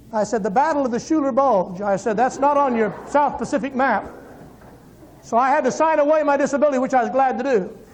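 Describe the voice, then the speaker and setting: A man talks very fast in an animated tone, his pitch extremely high with ordinary variation. Loudness stays very even, and the room echo is audible. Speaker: evangelist. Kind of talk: testimony.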